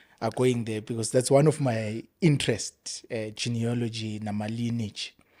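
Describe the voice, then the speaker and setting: This man's voice has a dark, mellow tone at medium pitch, with fairly even intonation. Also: moderate pace. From South Africa, Springs/Tsakani area east of Johannesburg. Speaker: imam and Islamic educator. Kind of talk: interview conversation. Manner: code-switching between English and isiZulu.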